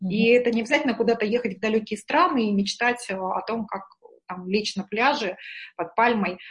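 A woman talks at a moderate pace with a fairly high pitch. Her voice is somewhat breathy, with ordinary pitch variation. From Murmansk, northern Russia. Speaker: executive coach and trainer. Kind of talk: interview.

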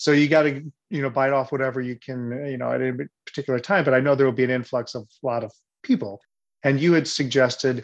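A man with an American accent, medium pitch, fairly even intonation, and a plain, everyday voice. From Missouri, US. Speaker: performer and director. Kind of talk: casual Q&A chat.

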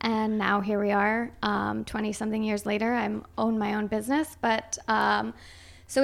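A woman speaks with a northern US accent at a fairly high pitch. The recording is very clean, with a silent background. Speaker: Irish dance teacher and studio owner. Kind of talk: casual interview chat. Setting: studio. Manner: soft-spoken.

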